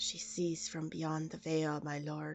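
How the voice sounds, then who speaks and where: Over faint music in the background, a quiet put-on character voice at middle pitch moves at a fairly slow pace. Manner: hushed.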